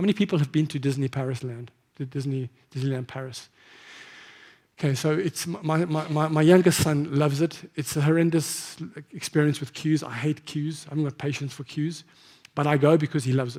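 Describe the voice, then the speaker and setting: A man with a fairly high pitch talks at a fairly quick pace in a dark, mellow tone that is somewhat breathy. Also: fairly even intonation. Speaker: marketing executive. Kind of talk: conference talk. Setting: stage with audience. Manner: fast.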